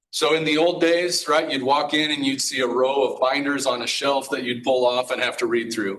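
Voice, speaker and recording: Medium-pitched man speaking at a fairly quick pace, intonation fairly even. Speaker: emergency management director. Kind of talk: presentation. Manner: fast.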